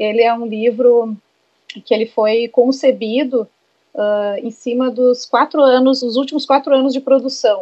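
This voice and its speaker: The woman's voice sits at a high pitch with fairly even intonation. She speaks at a fairly slow pace. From Rio Grande do Sul, Brazil (Santo Ângelo). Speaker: advertising professional and poet. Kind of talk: interview.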